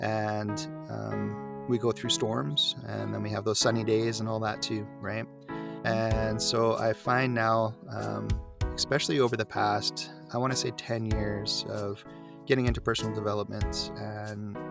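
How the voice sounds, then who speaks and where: A man speaks at a fairly slow pace. Music plays behind him. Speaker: voice actor. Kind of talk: interview answer.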